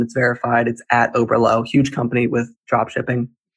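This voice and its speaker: A man speaks fairly quickly at a medium pitch. His voice is somewhat breathy. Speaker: TikTok creator. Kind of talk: podcast interview. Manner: energetic, hyper; fast.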